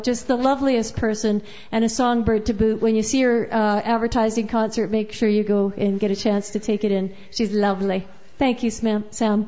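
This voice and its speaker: A woman with an unremarkable speaking voice at a moderate pace. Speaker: open mic host. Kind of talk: casual live hosting, MC banter. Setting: live coffee house with audience.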